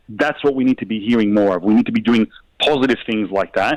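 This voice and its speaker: With an Australian accent, a man talks very fast with ordinary pitch variation, the sound dry and close with no echo. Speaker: mayor. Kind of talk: heated debate.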